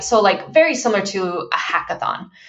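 With lively intonation, a woman speaks at a medium pitch. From Turkey, moved to US as child. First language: Turkish. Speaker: tech company founder and CEO. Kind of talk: interview.

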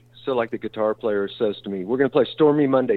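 The speaker is a man with a Texan accent. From Texas, La Porte near Houston. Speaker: bass player. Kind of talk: casual interview. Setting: studio.

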